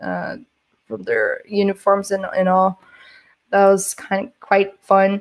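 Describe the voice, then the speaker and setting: A woman speaks at a very slow pace with long, frequent pauses and big swings in loudness. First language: not English. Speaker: security conference speaker, penetration tester. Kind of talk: conference talk. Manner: halting, many fillers and restarts.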